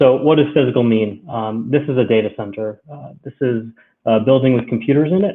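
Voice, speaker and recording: A plain, everyday voice from a man with an American accent, moderate pace and fairly even intonation. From United States. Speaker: cloud solutions architect. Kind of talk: technical webinar presentation. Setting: live-streamed webinar from home. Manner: many filler words (um, uh).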